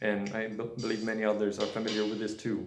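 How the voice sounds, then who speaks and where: Audible room echo surrounds a voice with a non-native accent. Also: man. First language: not English. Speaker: nutrition video creator. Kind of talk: casual monologue. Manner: halting, many fillers.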